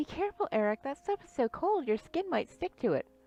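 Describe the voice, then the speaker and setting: A woman puts on a squeaky character voice with an extremely high pitch and very wide pitch swings, talking at a fairly quick pace. The sound is dry and close, with no echo. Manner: caring, warning.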